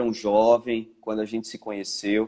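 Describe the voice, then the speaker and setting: Here a man talks at a moderate pace. His tone is dark and mellow. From Brazil, Pernambuco (Caruaru). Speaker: pastor. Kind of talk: casual chat.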